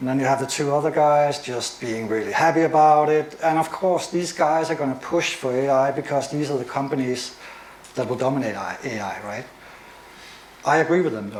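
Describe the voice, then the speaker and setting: Over noticeable background noise and audible room echo, a man with a Danish accent talks at a fairly quick pace and a fairly high pitch with ordinary pitch variation. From Denmark. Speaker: AI and media expert, presenter. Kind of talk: lecture. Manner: fast.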